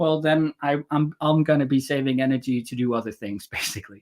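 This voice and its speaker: Mumbling at a fairly quick pace, a man with a fairly high pitch shows ordinary pitch variation in a dry, close sound with no echo. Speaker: historical linguist. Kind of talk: interview.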